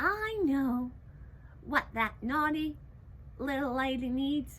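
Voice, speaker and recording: A woman's put-on character voice, high-pitched and lively in intonation, at a very slow pace over clear background noise. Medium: read story. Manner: piping, eager.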